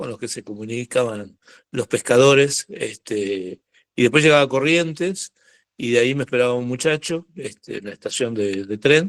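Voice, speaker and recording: Loudness swings widely at a moderate pace, with ordinary pitch variation. The sound is dry and close, with no echo. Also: man. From Argentina, Buenos Aires. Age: 60s. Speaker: biologist. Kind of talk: talk. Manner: halting, many fillers.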